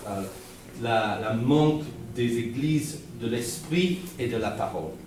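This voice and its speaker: With a Guernsey accent, a man talks at a very slow pace with ordinary pitch variation, over noticeable background noise and audible room echo. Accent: non-French, Guernsey English accent in French. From Guernsey, Channel Islands. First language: Guernsey Norman patois, then English (speaking French). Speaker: visiting preacher. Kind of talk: sermon. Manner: halting, many repetitions and fillers.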